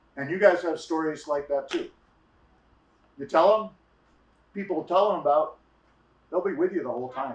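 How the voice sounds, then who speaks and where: A man with a high pitch speaks with ordinary pitch variation and long, frequent pauses. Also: moderate pace. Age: 60s. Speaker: storyteller. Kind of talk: storytelling.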